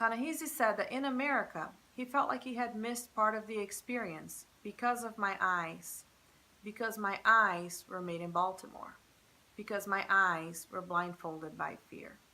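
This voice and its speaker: A woman with a Portuguese accent speaks at a moderate pace and a fairly high pitch, her tone bright and sharp, her intonation lively and her loudness swinging widely. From Brazil. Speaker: professor. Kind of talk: scripted narration.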